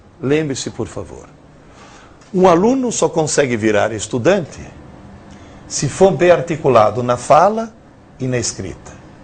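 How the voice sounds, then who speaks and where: This man has a fairly high pitch. His voice moves through very wide pitch swings. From Italy. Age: 60s. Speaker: professor. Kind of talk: lecture. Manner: animated.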